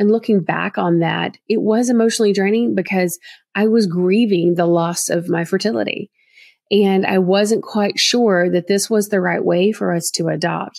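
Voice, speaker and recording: Through a very clean recording with a silent background, a woman with a Southern US accent and a warm tone speaks at a moderate pace and medium pitch, her loudness very even and her intonation fairly even. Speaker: adoption profile expert and podcast host. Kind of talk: podcast monologue, informative and friendly. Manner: warm, friendly, conversational.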